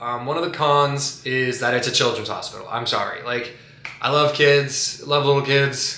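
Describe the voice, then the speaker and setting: There is noticeable background noise and audible room echo as a man speaks at a moderate pace in a fairly high, flat, monotone voice. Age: 20s. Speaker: vlogger documenting his cancer treatment. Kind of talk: personal vlog monologue. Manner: casual, filler-heavy.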